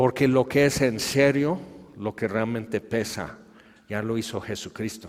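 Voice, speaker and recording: Speaking at a fairly slow pace, a man with a Mexico City accent has a medium pitch and ordinary pitch variation. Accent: Mexico City (chilango) accent, adopted. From Tehuacán, Puebla, Mexico. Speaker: preacher. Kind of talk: sermon.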